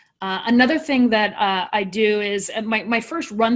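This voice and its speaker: Her pitch is fairly high for a woman. It varies an ordinary amount. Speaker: panel moderator. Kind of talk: panel discussion. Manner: fast.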